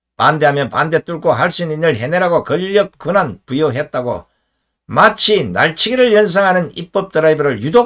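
Against a quiet background, a man with a fairly high pitch and vocal fry speaks at a moderate pace, his pitch swinging very widely. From rural South Korea. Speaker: political commentator, former journalist. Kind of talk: political commentary monologue. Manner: formal. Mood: indignant, critical. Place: home room.

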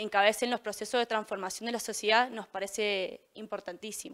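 A woman speaks at a fairly quick pace in a fairly high voice. Her intonation stays monotone and flat over a quiet background. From Mendoza, Argentina. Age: 20s. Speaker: political candidate; council candidate. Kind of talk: campaign statement. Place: studio.

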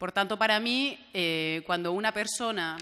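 Her tone bright and sharp, a woman speaks at a moderate pace with ordinary pitch variation. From Valencia, Spain; Spain. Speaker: regional MP and journalist; journalist. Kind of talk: panel discussion; panel debate talk. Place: meeting room. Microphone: podium.

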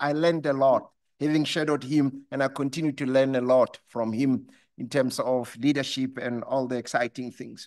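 A man keeps a moderate pace, and the background stays quiet. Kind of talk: formal speech. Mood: warm, appreciative. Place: hall. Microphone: podium.

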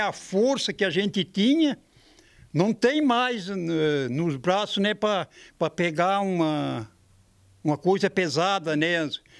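Against a quiet background, a man speaks at a very slow pace with a high pitch. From Santa Catarina, southern Brazil. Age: 80s+. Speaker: carpenter; interviewee. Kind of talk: interview. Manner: halting. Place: workshop. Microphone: handheld.

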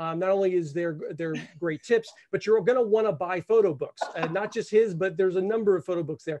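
A man talks at a fairly quick pace with hardly any pauses. His pitch is high, with ordinary variation. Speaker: director of a photography academy; host, interviewer. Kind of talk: live webinar host. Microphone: studio mic.

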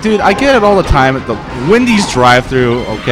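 A man is talking. Clear music plays behind his voice. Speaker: tournament commentator. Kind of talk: commentary. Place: shop.

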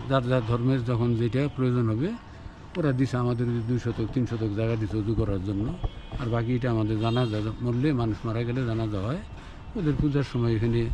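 Music plays in the background as a man with a medium pitch speaks with fairly even intonation, and audible room echo surrounds him. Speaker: mosque committee president. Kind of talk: interview. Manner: halting.

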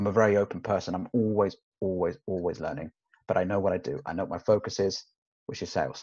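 Over a quiet background, a man talks at a fairly quick pace and a fairly low pitch. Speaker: sales trainer. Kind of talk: casual interview chat. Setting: video call. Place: meeting room. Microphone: webcam.

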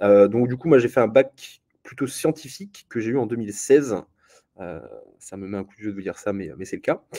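Against a quiet background, a man with a fairly low pitch speaks at a moderate pace, his intonation lively and his loudness swinging widely. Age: 20s. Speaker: law master's student presenting his program. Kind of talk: live presentation to students. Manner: halting, many fillers and repetitions. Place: home room. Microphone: webcam.

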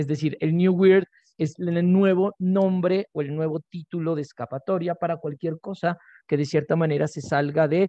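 Against a quiet background, a man speaks at a fairly high pitch with fairly even intonation, the sound dry with no echo. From Colombia (Nariño). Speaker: literature researcher. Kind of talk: academic conference talk. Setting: video call. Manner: slow. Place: home room. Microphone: video call.

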